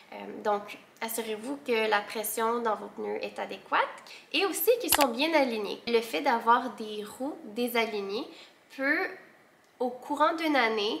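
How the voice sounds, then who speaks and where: A woman with a fairly high pitch speaks at a very slow pace, leaving long, frequent pauses. Her intonation is lively, and her loudness swings widely. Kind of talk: casual talk to camera.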